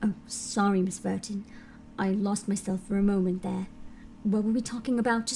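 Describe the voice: Amid clear background noise, a woman does a strained, put-on character voice at a medium pitch and a moderate pace.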